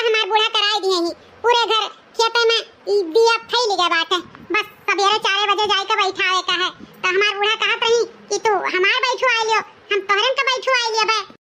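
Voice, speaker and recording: A woman puts on a cartoonish character voice with an extremely high pitch. She talks at a fairly quick pace with fairly even intonation. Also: very even loudness. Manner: chatty, reassuring.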